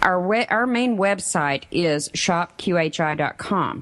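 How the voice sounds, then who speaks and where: Against noticeable background noise, a woman talks in a fairly low pitch with ordinary pitch variation. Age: 50s. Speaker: radio co-host. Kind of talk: radio announcements. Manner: upbeat, enthusiastic.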